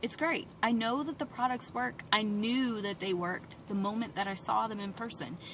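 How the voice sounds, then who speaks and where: There is noticeable background noise in the clip. Over it, a woman speaks with ordinary pitch variation. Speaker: beauty products seller. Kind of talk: personal vlog. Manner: slow; rambling, off-track.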